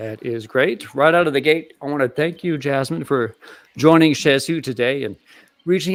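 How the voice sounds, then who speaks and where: A man with a plain, everyday voice speaks at a moderate pace, his pitch fairly high and its variation ordinary. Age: 30s. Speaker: podcast host. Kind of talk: interview.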